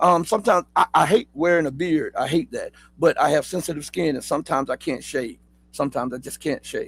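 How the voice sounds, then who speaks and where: A man with a high-pitched voice and a Southern accent, at a moderate pace, on a very clean recording with a silent background. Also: dry, close sound with no echo. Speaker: political news commentator. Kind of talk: live news commentary show. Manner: casual, with many fillers and repetitions.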